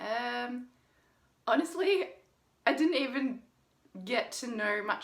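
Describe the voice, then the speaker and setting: A woman with an Australian accent speaks with lively intonation. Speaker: dating coach. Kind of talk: vlog commentary; casual chat. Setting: video call.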